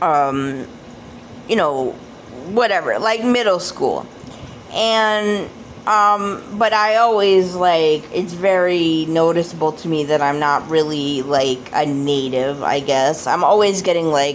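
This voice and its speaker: With an American accent and a fairly low pitch, a woman talks at a very slow pace using lively intonation, with audible room echo. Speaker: oracle card deck reviewer. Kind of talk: casual video review. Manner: hesitant, many fillers.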